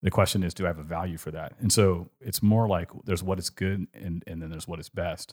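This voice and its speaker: Speaking fairly quickly with fairly even intonation, a man with a Californian accent has a very deep, low pitch, heard dry and close with no echo on a very clean recording with a silent background. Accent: Californian, general American. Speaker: podcast host, art discussion. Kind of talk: casual chat podcast conversation.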